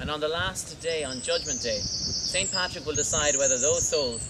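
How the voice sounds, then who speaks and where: A man speaks with an Irish accent. Noticeable background noise runs underneath. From Ireland. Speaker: tour guide. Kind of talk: humorous folklore storytelling to a tour group. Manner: playful, comic.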